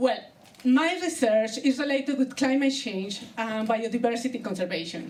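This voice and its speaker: A woman talks in a high pitch with lively intonation. Noticeable background noise and audible room echo surround her voice. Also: moderate pace. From Colombia. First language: Spanish. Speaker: comedian. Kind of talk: stand-up. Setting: stage with audience.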